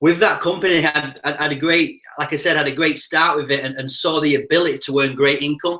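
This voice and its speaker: A man with a Yorkshire accent speaks at a fairly quick pace in a fairly high pitch. His tone is bright and sharp, his intonation monotone and flat. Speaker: network marketing presenter. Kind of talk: live webinar sales presentation. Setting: live online video broadcast. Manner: fast.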